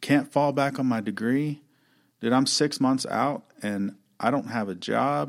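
A man speaks in a plain, everyday voice at a medium pitch with ordinary pitch variation and a fairly slow pace. The recording is very clean, with a silent background. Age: 30s. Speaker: former truck driver and business owner. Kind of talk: casual chat.

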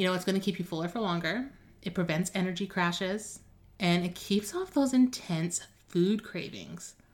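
A woman's somewhat breathy voice moves at a moderate pace, with ordinary pitch variation. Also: medium pitch for a woman. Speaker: nutrition coach podcast host. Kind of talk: solo podcast episode, informative talk. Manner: casual, upbeat.

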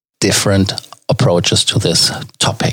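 Somewhat breathy and with a German accent, a man speaks at a fairly slow pace. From Germany. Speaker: travel podcast host. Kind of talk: casual commentary. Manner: hesitant, many fillers.

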